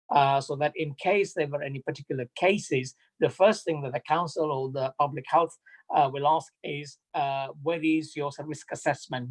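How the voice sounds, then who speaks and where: Recorded dry and close with no echo, a man speaks at a moderate pace in a fairly high, somewhat breathy voice with fairly even intonation. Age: 60s. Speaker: mosque trustee. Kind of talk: community announcement. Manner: halting.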